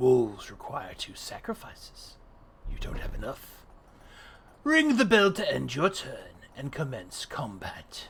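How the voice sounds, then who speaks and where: A man puts on a character voice, speaking at a fairly slow pace with big swings in loudness. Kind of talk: ominous game host. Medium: game stream. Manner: slow, solemn, instructive.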